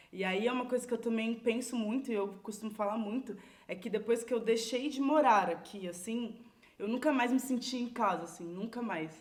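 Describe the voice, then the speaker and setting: Noticeable background noise under a woman's fairly high voice, moderate in pace, with ordinary pitch variation. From Brazil, São Paulo (Água Espraiada community). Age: 30s. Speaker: community leader. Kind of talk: podcast interview. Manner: casual, filler-heavy.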